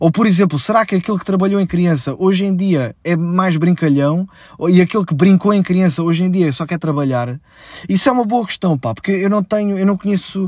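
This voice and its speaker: A man speaks in a European Portuguese accent at a fairly quick pace. His pitch is high, with ordinary pitch variation. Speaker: comedian and podcast host. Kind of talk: casual solo monologue.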